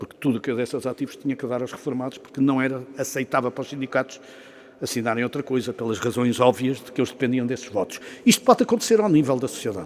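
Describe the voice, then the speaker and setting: A man with a medium pitch speaks very fast. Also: ordinary pitch variation, big swings in loudness. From Portugal. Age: 60s. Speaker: business executive and professor, guest speaker. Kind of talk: after-lunch talk to an audience.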